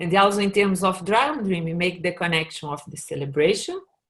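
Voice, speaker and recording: A woman with a Portuguese accent, medium pitch, lively intonation and a moderate pace. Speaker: workshop facilitator. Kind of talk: online presentation. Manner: halting.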